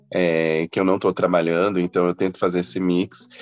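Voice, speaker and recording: The man's voice is very deep and low, delivered with monotone, flat intonation in a dry, close sound with no echo. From Mato Grosso do Sul, Brazil (Campo Grande). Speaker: journalist and travel entrepreneur. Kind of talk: interview.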